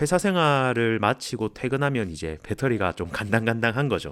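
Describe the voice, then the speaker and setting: Over background music, a man with a medium-pitched voice speaks at a moderate pace. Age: 30s. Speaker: office worker. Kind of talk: personal essay vlog talk. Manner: candid, reflective.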